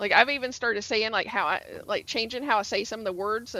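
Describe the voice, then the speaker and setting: Her voice has a bright, sharp tone and a fairly high pitch. The woman speaks with an American accent. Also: very clean recording, silent background. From US South, Georgia (Atlanta area). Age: 40s. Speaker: gaming streamer. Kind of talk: casual chat. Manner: animated.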